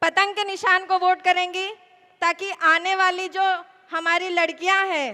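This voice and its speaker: Soft-spoken, a woman talks at an extremely high pitch. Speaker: election candidate. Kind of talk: political rally speech. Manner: soft-toned.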